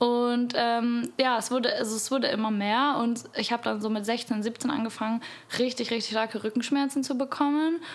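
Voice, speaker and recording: A woman's high pitch at a moderate pace, with fairly even intonation and noticeable background noise. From Bavaria, Munich. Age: 20s. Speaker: podcast guest. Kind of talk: casual chat. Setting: at the host's home. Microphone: too far from the mic at first.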